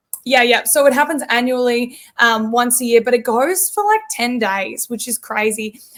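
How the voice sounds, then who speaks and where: Speaking at a moderate pace with an Australian accent, a woman uses a high pitch and ordinary pitch variation. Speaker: country pop singer. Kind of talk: interview podcast.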